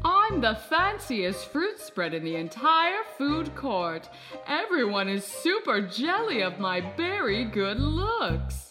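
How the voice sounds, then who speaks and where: A woman's fairly high voice at a fairly slow pace, with clear music in the background. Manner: snooty, bossy.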